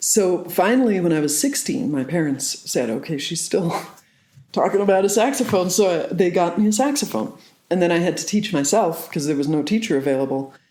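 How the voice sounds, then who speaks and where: A woman talks at a fairly quick pace in a fairly low pitch. Her voice makes very wide pitch swings, with audible room echo. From southwest Ireland. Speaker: saxophonist. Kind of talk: interview.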